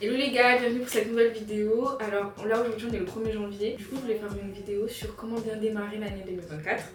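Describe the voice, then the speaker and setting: Speaking at a very fast pace with hardly any pauses, a woman with a fairly high voice keeps her intonation fairly even, with music in the background and audible room echo. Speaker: lifestyle vlogger. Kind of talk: casual advice vlog. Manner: soft-spoken.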